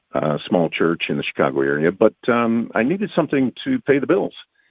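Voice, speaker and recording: Medium pitch from a man at a fairly quick pace, with very wide pitch swings. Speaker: voice actor. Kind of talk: interview answer.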